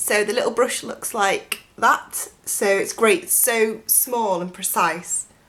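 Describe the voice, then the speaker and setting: Over noticeable background noise, a woman speaks at a very slow pace in a fairly high pitch, with lively intonation and hardly any pauses. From northern England (Cheshire). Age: 20s. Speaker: beauty vlogger. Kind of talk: makeup tutorial. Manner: casual, chatty.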